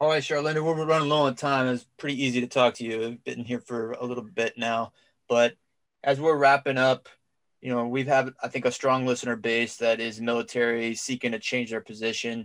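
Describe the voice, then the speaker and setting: A man with an American accent speaks at a fairly quick pace and medium pitch in a normal speaking voice, his intonation fairly even, on a very clean recording with a silent background. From Cincinnati, Ohio. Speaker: podcast co-host, Marine veteran. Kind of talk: interview.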